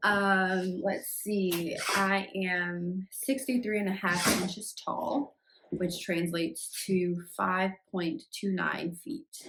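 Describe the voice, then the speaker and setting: A woman with an American accent speaks at a very slow pace with hardly any pauses. Her pitch is medium, with ordinary variation. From US Midwest, Chicago. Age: 20s. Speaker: vlogger and nurse. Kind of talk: casual get-to-know-me vlog. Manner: hesitant, many fillers (um).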